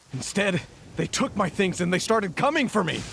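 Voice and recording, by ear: A man puts on a character voice, high-pitched with big pitch swings, a fairly bright tone, a slightly husky edge and vocal fry, at a moderate pace.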